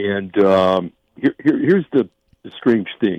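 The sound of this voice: Slow and fairly low, a man's voice carries lively intonation. The sound is dry and close, with no echo.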